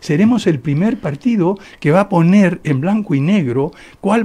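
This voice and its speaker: A man speaks with a dark, mellow tone. His moderate pace comes with lively intonation. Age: 70s. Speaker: political candidate. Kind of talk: radio interview.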